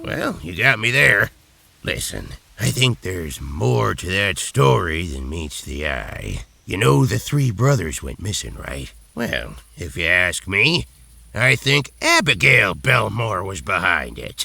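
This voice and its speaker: A man does a put-on character voice with a very deep, low pitch and very wide pitch swings. His loudness swings a lot, and he talks at a fairly slow pace. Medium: video game. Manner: gruff, folksy, grumbling.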